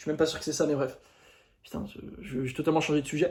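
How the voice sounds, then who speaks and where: A man talks at a very fast pace in a fairly high, somewhat breathy voice. His pitch variation is ordinary. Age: 20s. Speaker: YouTuber, dating coach. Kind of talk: casual monologue to camera. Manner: animated.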